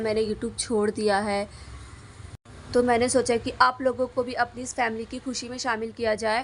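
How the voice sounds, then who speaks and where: Speaking at a moderate pace, a woman with a fairly high voice keeps a monotone, flat intonation. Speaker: YouTuber, tech channel creator. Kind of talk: vlog narration. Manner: halting.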